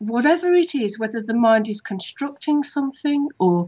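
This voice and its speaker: A woman's high voice at a moderate pace with ordinary pitch variation, over a quiet background. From Dudley, West Midlands. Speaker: hypnotherapist. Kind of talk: interview answer. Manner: chatty storyteller. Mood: reflective, personal. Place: home room. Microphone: video call.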